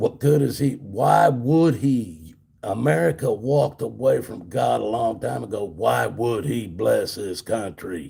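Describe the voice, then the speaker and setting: A man's fairly low, dark and mellow voice with vocal fry, very wide pitch swings, a fairly slow pace and hardly any pauses. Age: 60s. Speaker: livestreamer, former truck driver. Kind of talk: religious political rant on livestream. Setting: solo livestream. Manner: repetitive, halting; animated.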